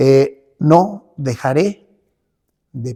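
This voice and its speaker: Dark, mellow, somewhat breathy tone from a man at medium pitch. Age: 70s. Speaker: pastor and church leader. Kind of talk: interview. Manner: halting, with many fillers.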